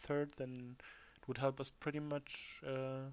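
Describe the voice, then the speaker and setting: In a fairly high voice, a man speaks at a moderate pace with monotone, flat intonation. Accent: German. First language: German. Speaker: gamer and team captain. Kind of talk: tactical briefing to teammates. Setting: livestream. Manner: halting, many fillers and repetitions.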